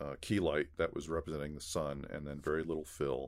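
This is a man speaking. He has a Californian accent. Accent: Californian American. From Los Angeles, San Gabriel Valley. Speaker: visual effects supervisor. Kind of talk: casual chat.

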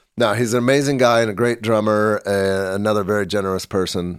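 A man with an American accent in a plain, everyday voice, fairly low in pitch and at a fairly quick pace, in a very clean recording with a silent background. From US Midwest, Kansas City. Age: middle-aged. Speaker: documentary filmmaker. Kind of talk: casual interview.

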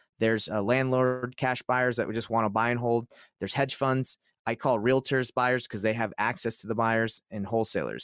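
Fairly even intonation marks an ordinary speaking voice with an American accent. The recording is very clean and silent in the background, with a dry, close sound and no echo. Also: man. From US South, Atlanta, Georgia. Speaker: real estate investor. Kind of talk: casual interview. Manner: fast, with frequent restarts.

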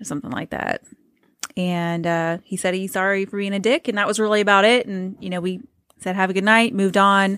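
A woman's normal speaking voice at a fairly quick pace, with fairly even intonation. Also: medium pitch for a woman. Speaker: podcast co-host. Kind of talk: casual chat.

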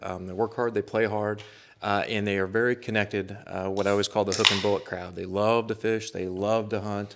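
A man with an American accent speaks at a fairly low pitch with fairly even intonation, captured on a very clean recording with a silent background. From northern Missouri. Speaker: conservation warden. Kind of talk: casual interview. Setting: studio.

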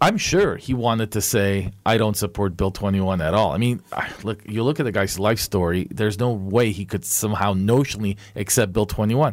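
At a moderate pace, a man talks in an unremarkable speaking voice, fairly low in pitch with ordinary pitch variation. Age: 50s. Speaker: lawyer and political commentator. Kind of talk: casual chat.

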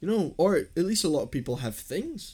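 A somewhat breathy man with a dark, mellow tone talks at a fairly quick pace, using ordinary pitch variation. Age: 20s. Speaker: podcast host. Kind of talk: casual chat.

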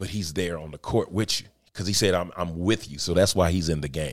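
At a moderate pace, a man with a very deep, low pitch talks on a very clean recording with a silent background. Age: 30s. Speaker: podcast host, chef and entrepreneur. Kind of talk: solo motivational talk. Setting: livestream. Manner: casual, animated.

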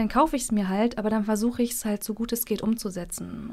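The woman's voice is fairly high and her pace very fast. Background noise is noticeable. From Mecklenburg, northern Germany. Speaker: cosplayer. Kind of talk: casual interview. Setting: radio studio.

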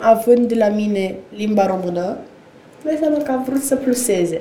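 Over noticeable background noise and audible room echo, a woman talks at a fairly high pitch with ordinary pitch variation. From Romania, Slobozia. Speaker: actress. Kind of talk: casual chat.

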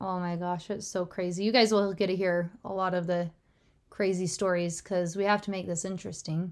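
A woman's medium-pitched voice, monotone and flat, at a fairly quick pace in a very clean recording with a silent background. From Utah. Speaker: junior high teacher. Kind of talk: casual chat.

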